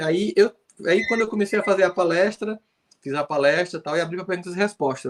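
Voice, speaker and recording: A man with a northeastern Brazilian accent, lively intonation and a fairly quick pace, in a dry, close sound with no echo. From Brazil, Northeast. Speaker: psychologist and speaker. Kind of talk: live interview.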